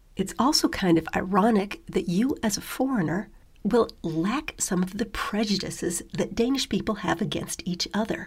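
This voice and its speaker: A woman with an American accent talks in a somewhat breathy voice. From US. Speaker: podcast host. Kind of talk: talk on living abroad.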